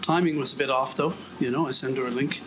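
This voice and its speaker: The speech moves at a fairly quick pace while music plays in the background. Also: man. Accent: Irish. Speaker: vlogger walking on treadmill. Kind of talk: casual monologue. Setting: indoors on a treadmill. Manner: fast.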